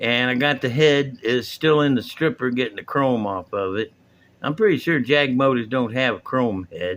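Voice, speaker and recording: Here is a man with a normal speaking voice. His pitch is medium with ordinary variation, and his pace is moderate. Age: 60s. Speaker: hobbyist video host. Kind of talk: casual tutorial. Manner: relaxed, rambling.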